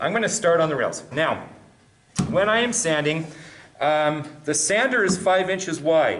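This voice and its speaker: Audible room echo surrounds a man speaking at a fairly slow pace and fairly high pitch. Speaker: woodworking instructor. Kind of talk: tutorial. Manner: clearly enunciated.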